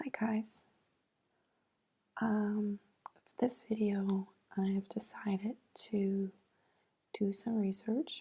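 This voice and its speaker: A soft-spoken woman mumbles at a very slow pace, with long, frequent pauses and a medium pitch. Her tone is dark and mellow, somewhat breathy, with fairly even intonation over light background noise. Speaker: ASMR creator. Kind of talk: soft-spoken ASMR. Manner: soft-spoken, mumbling to herself. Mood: thoughtful, mildly amused. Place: home room. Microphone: earbuds.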